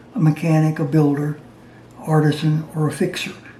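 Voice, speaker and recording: A man's fairly high voice moves at a fairly quick clip while background noise is clearly audible. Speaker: DIY maker and retired science teacher. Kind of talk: casual talk to camera. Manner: halting.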